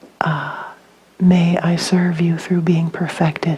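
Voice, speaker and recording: Over noticeable background noise, a woman with a fairly low pitch talks at a moderate pace in a monotone, flat intonation. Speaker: spiritual teacher. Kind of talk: dharma talk.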